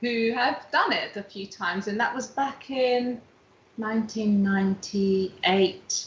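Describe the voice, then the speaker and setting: Against noticeable background noise, a woman speaks fairly slowly at a fairly high pitch with ordinary pitch variation. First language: not English. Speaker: dance teacher. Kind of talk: casual interview chat.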